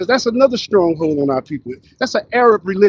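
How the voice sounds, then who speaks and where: A man talks at a fairly quick pace in an animated tone, his high pitch making very wide swings. The sound is dry and close, with no echo. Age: 60s. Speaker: street preacher. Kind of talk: street preaching.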